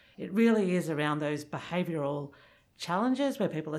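In a very clean recording with a silent background, a woman talks at a fairly quick pace with an Australian accent. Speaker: pharmacist and addiction researcher. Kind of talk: interview. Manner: fast.

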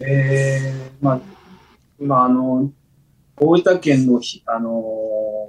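The man's voice sits at a medium pitch. He speaks at a fairly slow pace. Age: 50s. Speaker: rice farmer. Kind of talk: interview. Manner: halting.

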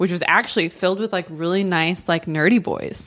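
Over noticeable background noise, a woman talks at a fairly quick pace with fairly even intonation. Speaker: podcast guest.

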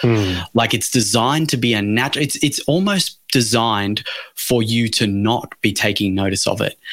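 A man talks at medium pitch with ordinary pitch variation. He has an unremarkable speaking voice. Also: moderate pace. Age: 40s. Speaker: breathing coach. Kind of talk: interview.

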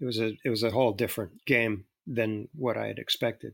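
Speaking at a fairly quick pace, a man uses a medium pitch with vocal fry. The recording is very clean, dry and close, with a silent background and no echo. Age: 60s. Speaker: author and actor. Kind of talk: interview. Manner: halting, many repeated words.

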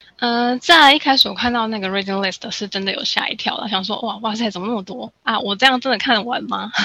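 A woman with a fairly high pitch and ordinary pitch variation speaks very fast, with hardly any pauses. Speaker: study-abroad consultant. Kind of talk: casual interview chat.

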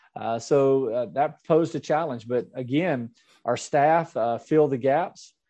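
Over a quiet background, a man with a Mississippi accent talks in a fairly high pitch with a dark, mellow tone. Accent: Southern US (Mississippi). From US South, Mississippi. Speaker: school superintendent. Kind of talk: interview.

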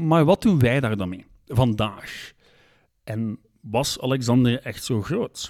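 The recording is very clean, with a silent background. A man speaks at a very slow pace. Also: medium pitch for a man, lively intonation. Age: 30s. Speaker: history podcaster. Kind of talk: scripted narration.

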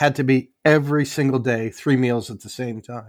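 A man with a plain, everyday voice talks at a moderate pace, with a fairly high pitch and ordinary pitch variation. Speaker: former airline pilot. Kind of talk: casual chat. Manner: sarcastic.

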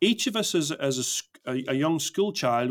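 On a very clean recording with a silent background, a man speaks with an Irish accent at a moderate pace. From Northern Ireland, Belfast. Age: 50s. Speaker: storytelling consultant. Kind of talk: casual interview.

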